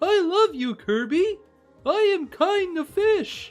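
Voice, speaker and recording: Faint music plays in the background as a put-on character voice with an extremely high pitch speaks at a fairly slow pace. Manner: gushing and silly.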